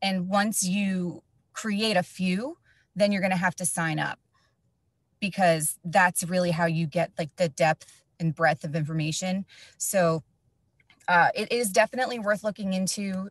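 The voice is somewhat breathy, with an American accent and fairly even intonation, broken by long, frequent pauses. The sound is dry and close, with no echo. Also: woman, medium pitch for a woman, fairly slow pace. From New Jersey. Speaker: education facilitator, former teacher. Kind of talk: tutorial webinar.

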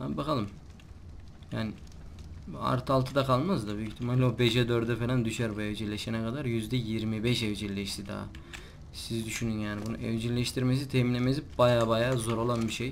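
Speaking at a moderate pace with fairly even intonation, a man is heard with audible room echo. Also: medium pitch for a man. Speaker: gaming YouTuber. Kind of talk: let's play commentary. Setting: recording at night.

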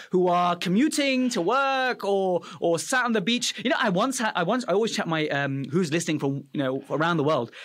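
Against a quiet background, a man with a British accent talks at a moderate pace in an enthusiastic tone, his high pitch making very wide swings with hardly any pauses. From Afghanistan, raised in UK. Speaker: dental podcast host, dentist; podcast host. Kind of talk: educational interview. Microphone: studio mic.

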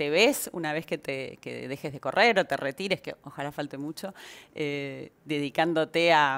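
Very deep, low female tones at a moderate pace. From Argentina. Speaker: talk show host. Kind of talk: interview. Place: studio. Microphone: headset.

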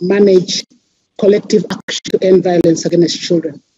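With a dark, mellow tone and fairly even intonation, a woman speaks in a dry sound with no echo. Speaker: civil society representative; panelist. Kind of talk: reading a formal statement. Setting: video call. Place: office. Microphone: headset.

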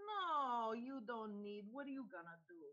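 This is a put-on character voice that sounds female, pitched fairly high for a woman. The pace is moderate. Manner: dismissive, skeptical.

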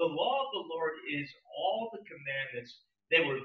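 A man with an American accent and audible room echo. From New Jersey. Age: old. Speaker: pastor. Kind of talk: sermon. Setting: church. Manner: animated. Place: church.

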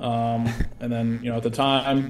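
A man with an American accent and monotone, flat intonation, amid audible room echo and light background noise. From military family, Germany, Europe and US East Coast, teens in New Jersey. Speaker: navy helicopter pilot. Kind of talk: interview. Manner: hesitant with many fillers. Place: home room. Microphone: video call.

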